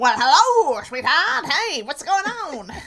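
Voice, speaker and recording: Someone puts on a character voice with a transatlantic accent and a high pitch. The pace is fairly slow, with very wide pitch swings. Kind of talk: old-timey, suave.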